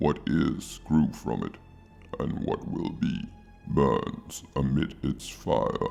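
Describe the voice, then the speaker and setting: A man puts on a character voice and speaks at a very slow pace. Music is clearly heard in the background. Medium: audio drama. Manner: measured, imperious.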